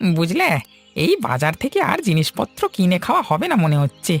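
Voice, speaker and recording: In a put-on character voice of middle pitch, the speaker delivers lines at a moderate pace over faint music in the background. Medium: short film. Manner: earnest, plain-spoken.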